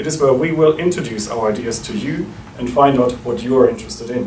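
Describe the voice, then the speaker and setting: With a German accent and a fairly high pitch, a man speaks at a fairly quick pace with lively intonation, amid audible room echo and noticeable background noise. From Germany. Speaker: think tank director. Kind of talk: welcome speech. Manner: formal.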